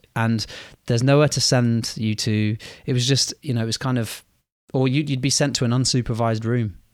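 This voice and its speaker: A man speaks fairly quickly in a plain, everyday voice at a medium pitch with fairly even intonation. The recording is very clean, with a silent background. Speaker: teacher podcast host. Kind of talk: casual chat.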